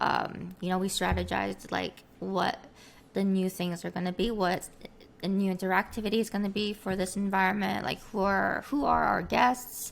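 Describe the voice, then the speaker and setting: A woman at medium pitch with fairly even intonation and a moderate pace. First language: Korean. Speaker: streamer and virtual avatar creator. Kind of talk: interview. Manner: halting, many fillers.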